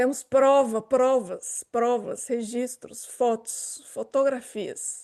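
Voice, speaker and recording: Against a quiet background, a woman talks very slowly with hardly any pauses. Her voice is high-pitched with a dark, mellow tone and fairly even intonation. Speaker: podcast host. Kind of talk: casual chat.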